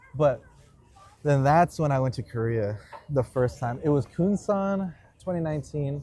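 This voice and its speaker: A man with an American accent speaks at a moderate pace and a fairly high pitch, with ordinary pitch variation. His tone is dark, mellow and somewhat breathy. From San Diego, California. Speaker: Air Force veteran. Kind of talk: casual chat. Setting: outdoors in a park. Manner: casual, filler-heavy.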